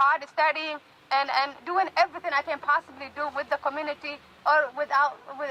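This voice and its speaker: A raised, projected voice at a moderate pace, with fairly even intonation and a dry, close sound with no echo. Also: woman. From Somali refugee camp, East Africa. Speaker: university student and community activist. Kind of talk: rally speech. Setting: outdoor rally with amplification. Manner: halting.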